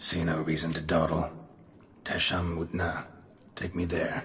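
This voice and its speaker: A man in a put-on character voice, very deep and low, raspy, with monotone, flat intonation at a moderate pace. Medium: video game. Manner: terse, dry, drops subjects.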